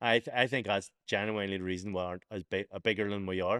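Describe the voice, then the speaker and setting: In a Belfast accent, a man talks at a very fast pace with fairly low pitch, captured in a very clean recording with a silent background and a dry, close sound with no echo. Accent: Belfast, Northern Irish. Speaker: podcast host and boxer. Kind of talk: casual podcast talk.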